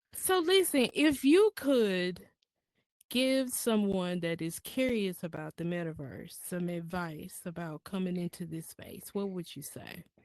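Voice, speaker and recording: A fairly slow pace in a Southern US accent, over a quiet background. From US South, Mississippi. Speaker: podcast host. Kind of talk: interview. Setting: virtual reality space.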